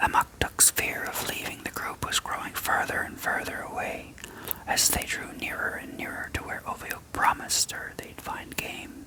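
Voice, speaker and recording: Someone is whispering at a moderate pace. Noticeable background noise runs underneath. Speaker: ASMR creator reading own written story. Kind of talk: whispered story reading (ASMR). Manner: whispered, soft.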